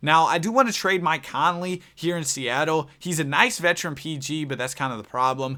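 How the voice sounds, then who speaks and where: On a very clean recording with a silent background, a man speaks at a moderate pace in an animated tone, his fairly high voice bright and sharp, with ordinary pitch variation. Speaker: gaming YouTuber. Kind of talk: gameplay commentary. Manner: casual, animated.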